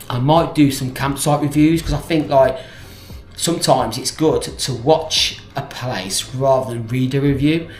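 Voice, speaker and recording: Music plays in the background as a man with an English Midlands accent speaks in a fairly high voice. His intonation is fairly even, and the room echo is audible. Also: fairly slow pace. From English Midlands, South Staffordshire. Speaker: vlogger. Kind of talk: casual chat to camera. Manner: halting, with many fillers and restarts.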